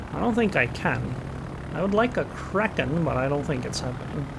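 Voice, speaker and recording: A moderate pace over noticeable background noise. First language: Estonian. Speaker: gaming commentator. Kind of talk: gameplay commentary. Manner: casual, thinking aloud.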